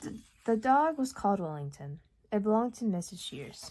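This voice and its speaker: On a very clean recording with a silent background, a woman speaks with a dark, mellow, somewhat breathy tone. Her pitch swings very widely at a moderate pace. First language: Urdu. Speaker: audiobook reader. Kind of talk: reading aloud. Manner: occasional stumbles and repeats.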